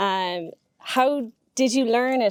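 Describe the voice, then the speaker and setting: A woman speaks with an Irish accent. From Ireland. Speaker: farming show host. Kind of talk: interview.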